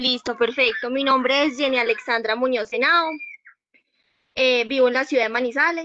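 Against a quiet background, a woman uses a raised, projected voice with a high pitch, a bright, sharp tone and fairly even intonation. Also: moderate pace. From Colombia. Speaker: new university student. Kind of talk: self-introduction. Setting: video call. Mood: earnest, motivated. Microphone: video call.

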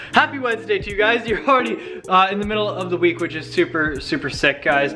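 A man's raised, projected voice at a very fast pace amid noticeable background noise. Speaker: vlogger. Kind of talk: casual vlog chat. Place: home room. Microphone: phone near.

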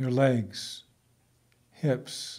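The voice has a dark, mellow tone and a calm tone. It is somewhat breathy. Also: man. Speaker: guided meditation teacher. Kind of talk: guided meditation narration. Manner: slow, calm.

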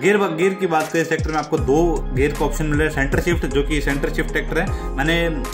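Over clear music in the background, a man speaks at a moderate pace. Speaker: tractor reviewer. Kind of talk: product review commentary. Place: open country. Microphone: phone near.

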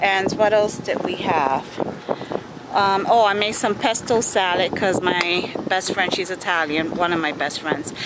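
Loud background noise surrounds a woman speaking with ordinary pitch variation, in a dry sound with no echo. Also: fairly slow pace. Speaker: family vlogger. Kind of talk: casual vlog chat. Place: waterside. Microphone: phone near.

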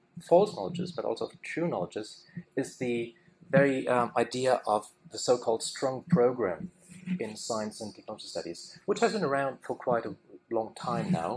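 Over noticeable background noise, a man talks at a moderate pace, his pitch swinging very widely and his loudness rising and falling in big swings. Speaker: conference speaker. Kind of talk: lecture. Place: hall. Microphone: podium.

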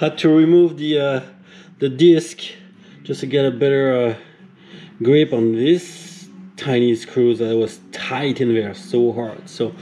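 A man at a fairly slow pace, with long, frequent pauses, ordinary pitch variation and light background noise. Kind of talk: tutorial. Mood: relaxed, self-amused. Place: garage. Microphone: phone near.

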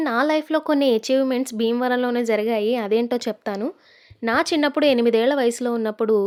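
With ordinary pitch variation, a woman's high voice comes through on a very clean recording with a silent background. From Andhra Pradesh, Godavari delta (Kalidindi). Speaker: artist and YouTuber. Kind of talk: narrated vlog.

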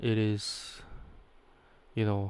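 A man speaks at a very slow pace in a fairly low pitch, his intonation monotone and flat. His tone is clear and smooth, slightly mellow.

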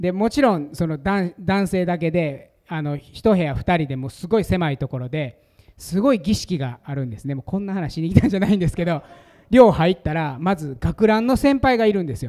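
A man with a Kansai accent speaks at a moderate pace, with a high pitch and a dark, mellow tone. His pitch swings very widely, and the background is quiet. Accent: Kansai Japanese. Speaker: pastor giving conference talk. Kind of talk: sermon or teaching talk. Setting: stage with audience. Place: meeting room. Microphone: handheld.

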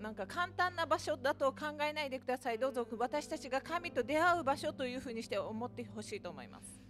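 A woman speaks at a fairly quick pace in a high voice with ordinary pitch variation, clear music playing behind her. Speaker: interpreter for the preacher. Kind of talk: live interpretation of a sermon. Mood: calm, reverent. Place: church. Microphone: podium.

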